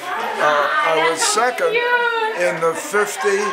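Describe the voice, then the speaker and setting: A man speaks over loud background noise. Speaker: entertainment publicist. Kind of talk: interview answer. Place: kitchen. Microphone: phone near.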